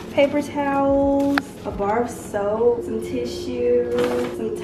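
Music plays in the background. A woman talks at a very slow pace. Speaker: vlogger. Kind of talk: casual vlog chat. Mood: cheerful, excited. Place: home room. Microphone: camera far.

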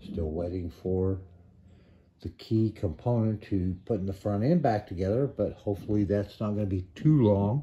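A man's dark, mellow, somewhat breathy voice at a fairly low pitch. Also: ordinary pitch variation, moderate pace. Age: 60s. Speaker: hobby car restorer. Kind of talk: casual vlog chat. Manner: relaxed, chatty. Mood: relaxed, upbeat. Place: garage. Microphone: phone near.

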